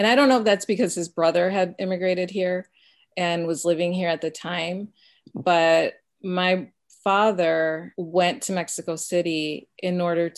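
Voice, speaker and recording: Her voice is fairly low in pitch, and this woman talks at a moderate pace with fairly even intonation. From US Midwest, Chicago area (Mexican American family). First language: Spanish. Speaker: pediatric dentist and instructor. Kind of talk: interview.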